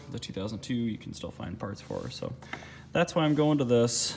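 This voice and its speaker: Noticeable background noise behind a man's fairly quick speech, its pitch varying in an ordinary way. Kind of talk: casual vlog chat. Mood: excited, upbeat. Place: garage. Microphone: phone near.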